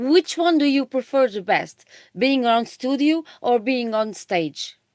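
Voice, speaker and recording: In a Portuguese accent, a woman speaks at a high pitch in a dry, close sound with no echo. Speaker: interviewer. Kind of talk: interview.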